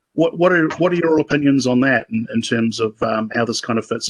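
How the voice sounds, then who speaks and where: A man with a New Zealand accent talks at a fairly quick pace with ordinary pitch variation, the sound dry and close with no echo. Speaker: sheep breeder, meeting participant. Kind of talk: casual discussion comment. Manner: halting, many repetitions and fillers.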